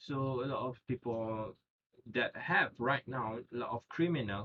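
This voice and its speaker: A man speaks at a very slow pace. He has a non-native accent. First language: not English. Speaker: student. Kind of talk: class presentation. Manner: halting.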